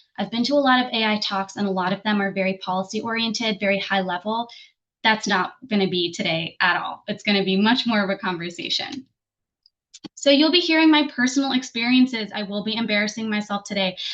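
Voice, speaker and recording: A fairly high-pitched woman in an American accent, very fast, with ordinary pitch variation. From New Jersey, US. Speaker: program evaluation consultant and trainer. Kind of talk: webinar presentation.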